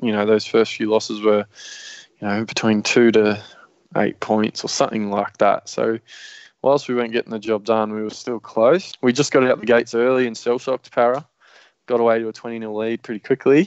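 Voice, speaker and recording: A man with an Australian accent, medium in pitch, at a fairly quick pace. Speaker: fantasy sports podcast host. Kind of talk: casual chat. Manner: animated.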